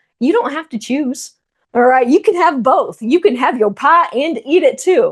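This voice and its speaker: Against a quiet background, a woman with an American accent speaks with lively intonation. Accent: Texan, noticeable, thicker when fast. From Texas. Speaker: strength and nutrition coach. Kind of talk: online masterclass presentation.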